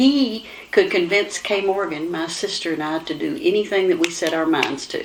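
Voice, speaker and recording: With a Kentucky accent, a woman speaks at a moderate pace in a medium pitch with lively intonation. Background noise is noticeable. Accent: Kentucky Southern US. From Kentucky, Owen County. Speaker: talk show host. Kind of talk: casual talk show chat.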